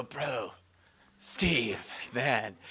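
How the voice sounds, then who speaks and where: Putting on a character voice, a woman speaks in a raspy, very deep, low pitch. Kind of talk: laid-back slang.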